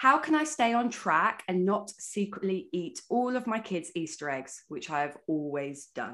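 The voice has an animated tone and very wide pitch swings. The recording is very clean, with a silent background. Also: woman. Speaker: podcast host, fitness coach. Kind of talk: casual chat. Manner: fast.

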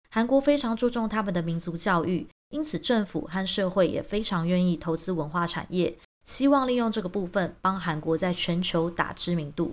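On a very clean recording with a silent background, a woman with a plain, everyday voice speaks at a medium pitch and a moderate pace with lively intonation. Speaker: YouTube commentator. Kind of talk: scripted monologue.

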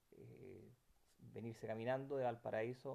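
Very slowly, a man with a Chilean accent speaks at a medium pitch in a dark, mellow tone. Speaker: eyewitness interviewee. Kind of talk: personal testimony interview. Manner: halting, many repetitions and fillers.

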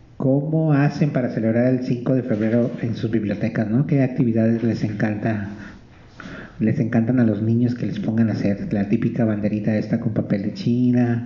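Moderate in pace, the man's speech shows ordinary pitch variation. He has a plain, everyday voice. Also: medium pitch for a man. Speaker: radio host. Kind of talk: casual chat. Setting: live broadcast from a library.

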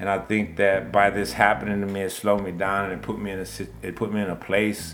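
A man with an American accent and a very deep, low pitch, with audible room echo. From Texas, Baytown. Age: 40s. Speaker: wrongful conviction exoneree. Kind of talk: interview testimony.

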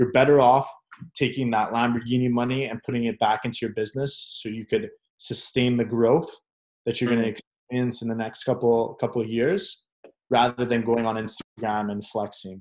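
A man with a normal speaking voice talks at medium pitch and a fairly quick pace, keeping his intonation fairly even. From Canada, Montreal. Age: 20s. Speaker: sales agency owner. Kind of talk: casual interview. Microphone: AirPods recording, poor audio.

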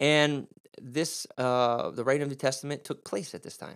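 Recorded very cleanly against a silent background, a man with a Midwestern American accent speaks at a fairly quick pace. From US Midwest. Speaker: Bible teacher and preacher. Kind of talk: teaching podcast on Bible Greek. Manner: informal, upbeat.

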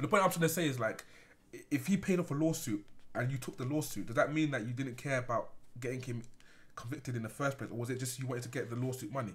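Words come from a man at a very fast pace in a somewhat breathy voice. His pitch is medium, with ordinary pitch variation. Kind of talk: casual banter among friends. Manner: joking, banter-heavy.

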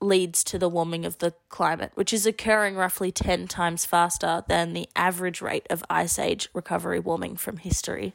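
In a very clean recording with a silent background and a dry, close sound with no echo, a woman with an Australian accent speaks at a moderate pace, her fairly low pitch held in a monotone, flat intonation. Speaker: podcast co-host. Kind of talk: casual discussion.

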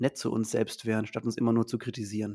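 This man has a plain, everyday voice at a medium pitch and a fairly quick pace. The recording is very clean, with a silent background. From Mannheim, Germany. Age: 30s. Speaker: teacher and supplement entrepreneur. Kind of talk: podcast interview.

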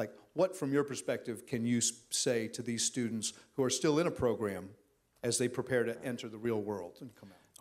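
With big swings in loudness, a man speaks in a normal speaking voice at medium pitch, keeping a fairly quick pace and ordinary pitch variation. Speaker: songwriter and songwriting instructor. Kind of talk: casual interview. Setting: stage with audience.

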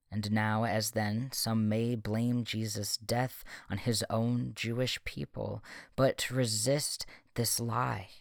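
Very slow in pace, a man speaks at a medium pitch with fairly even intonation on a very clean recording with a silent background. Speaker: podcast host and poet. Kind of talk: poem performed aloud, impassioned spoken-word prayer of lament and defiance. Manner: solemn, earnest, building from mournful hush to fervent, ringing vows; measured, cadenced, rhythmic delivery with emphatic stresses.

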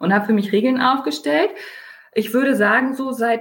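A woman's somewhat breathy voice. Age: 30s. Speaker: online retailer, mother. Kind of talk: podcast interview.

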